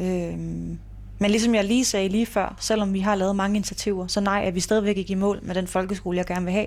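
Monotone, flat intonation from a woman at a medium pitch, moving at a moderate speed. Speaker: mayor. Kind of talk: interview. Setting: city hall office.

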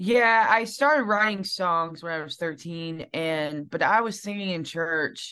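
A woman with a Southern US accent and a bright, sharp tone speaks at a fairly slow pace with hardly any pauses, over a quiet background. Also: medium pitch for a woman, lively intonation. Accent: Southern twang. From Alabama, US South. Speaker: singer-songwriter. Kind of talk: casual interview chat. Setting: video call.

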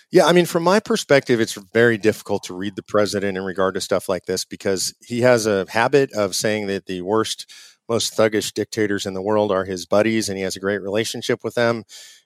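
A man with an American accent and a plain, everyday voice, fairly low in pitch with ordinary pitch variation, at a fairly quick pace in a dry, close recording with no echo. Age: 50s. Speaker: conservative activist group president. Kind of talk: interview. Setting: remote call from home.

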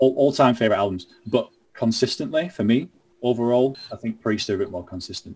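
A man talks fairly quickly with a Lancashire accent. His pitch is medium, with ordinary variation. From Lancashire, northern England (Burnley). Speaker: heavy metal musician. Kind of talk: casual interview.

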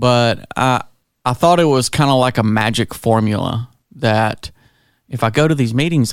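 An unremarkable speaking voice from a man at medium pitch, ordinary pitch variation, very clean recording with a silent background. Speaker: recovery podcast co-host. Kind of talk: casual chat.

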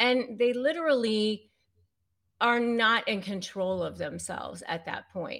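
A woman with an American accent speaks fairly slowly, with lively intonation and a fairly high pitch. An unremarkable speaking voice, captured in a very clean recording with a silent background. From US, Northern Virginia. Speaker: attorney and negotiation expert. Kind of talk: interview.

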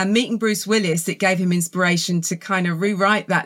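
A woman speaks with a southern English accent at a medium pitch and moderate pace. The recording is very clean, with a silent background. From southern England. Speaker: author and film journalist. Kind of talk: casual interview chat.

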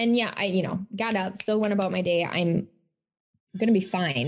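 A somewhat breathy woman's voice at medium pitch with ordinary pitch variation. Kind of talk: podcast monologue.

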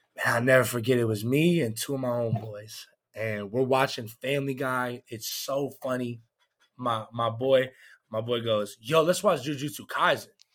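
With an American accent, a man speaks in a normal speaking voice at a medium pitch and moderate pace, with ordinary pitch variation, in a very clean recording with a silent background. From Georgia, US South. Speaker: comedian. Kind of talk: casual chat.

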